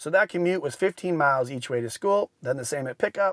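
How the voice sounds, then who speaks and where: Recorded dry and close with no echo, a man talks at a fairly quick pace and a fairly high pitch with ordinary pitch variation. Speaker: consumer product reviewer. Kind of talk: scripted narration. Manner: fast.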